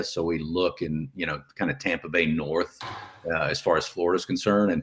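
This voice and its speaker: A man at a fairly quick pace, with a Texan accent. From Texas. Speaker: real estate investor, retired navy officer. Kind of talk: podcast interview.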